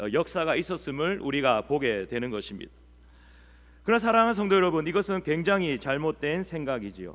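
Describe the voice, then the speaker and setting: On a very clean recording with a silent background, a man speaks at a fairly quick pace and a fairly high pitch, with very wide pitch swings. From Busan, South Korea. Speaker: pastor. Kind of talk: sermon. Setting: church.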